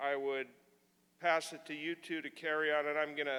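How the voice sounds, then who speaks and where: Here is a loud man with a fairly high pitch. His tone is bright and sharp. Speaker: symposium moderator. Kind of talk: event introduction.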